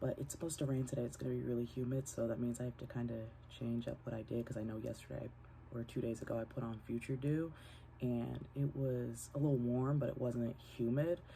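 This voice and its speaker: A woman with a very deep, low pitch speaks at a fairly quick pace, her dark, mellow tone somewhat breathy and her intonation fairly even. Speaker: vlogger. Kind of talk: casual vlog talk. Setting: at home. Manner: quiet, keeping voice down.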